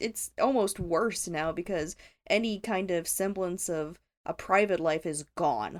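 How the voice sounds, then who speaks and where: A woman with a plain, everyday voice and an American accent speaks at a fairly slow pace and medium pitch with ordinary pitch variation, on a very clean recording with a silent background. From US South. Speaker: returning podcast guest. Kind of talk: casual chat.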